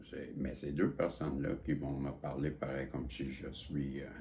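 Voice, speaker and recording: A man with a Quebec accent speaks very slowly in a very deep, low voice with vocal fry. Audible room echo surrounds him. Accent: Québécois French. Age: 60s. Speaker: psychic vlogger. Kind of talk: casual monologue. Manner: halting, repetitive.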